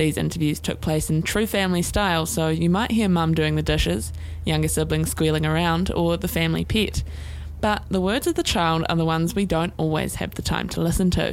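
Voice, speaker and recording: A woman speaks at a fairly quick pace with a New Zealand accent. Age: 20s. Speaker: podcast host and student producer. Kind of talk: scripted narration.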